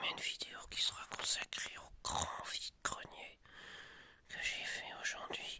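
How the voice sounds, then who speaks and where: This man's whispering moves at a very slow pace, with noticeable background noise behind it. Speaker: YouTuber showing flea market finds. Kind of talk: ASMR show-and-tell. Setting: at home. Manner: soft-spoken; hesitant, many fillers.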